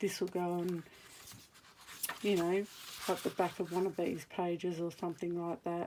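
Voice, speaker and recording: A woman with an Australian accent speaks in a dark, mellow tone with monotone, flat intonation and long, frequent pauses. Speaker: crafter. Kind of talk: tutorial. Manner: casual, hesitant with fillers.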